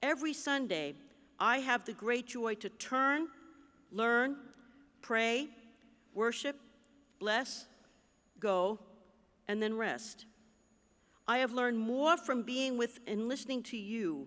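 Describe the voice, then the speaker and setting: A woman with an American accent speaks at a very slow pace in a high pitch, her tone bright and sharp, her pitch varying in an ordinary way, with long, frequent pauses on a very clean recording with a silent background. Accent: New Jersey, stronger when excited. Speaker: bishop. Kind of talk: convention address.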